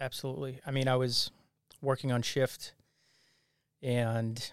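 With an American accent, a man speaks at a medium pitch with fairly even intonation in a very clean recording with a silent background. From Massachusetts (Abington, near Boston). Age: 30s. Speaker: police officer and financial advisor. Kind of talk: interview conversation. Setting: studio. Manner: frequent filler words (uh, um).

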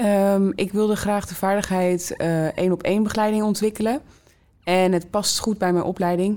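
Woman's dark, mellow voice at a medium pitch, monotone and flat, at a moderate pace. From Netherlands, Rotterdam South. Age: 20s. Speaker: student mentor. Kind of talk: interview. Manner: hesitant with fillers.

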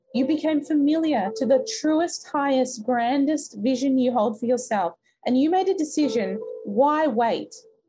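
Music plays behind a woman speaking in a high, warm voice. Her loudness stays very even while her intonation is lively. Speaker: podcast host and mindset coach. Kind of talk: guided meditation, then goal-setting coaching call. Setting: live call with an online audience. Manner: slow, soothing, calm and rhythmic, counting breaths; warm, encouraging, motivational.

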